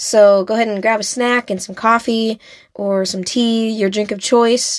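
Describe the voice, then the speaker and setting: A woman with an American accent uses a normal speaking voice, fairly high in pitch, at a fairly slow pace with ordinary pitch variation. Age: 20s. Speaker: podcast host. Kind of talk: solo podcast monologue.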